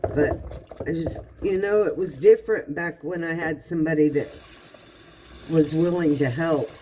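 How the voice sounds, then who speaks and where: A woman's very deep, low voice in a relaxed tone at a fairly slow pace, with noticeable background noise. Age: 60s. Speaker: vlogger. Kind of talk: casual monologue. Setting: home kitchen, doing dishes. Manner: relaxed, conversational.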